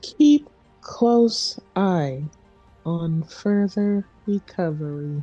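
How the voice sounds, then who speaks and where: In a put-on character voice, a female-sounding speaker at medium pitch talks at a very slow pace with long, frequent pauses over faint music in the background. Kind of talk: polite, measured.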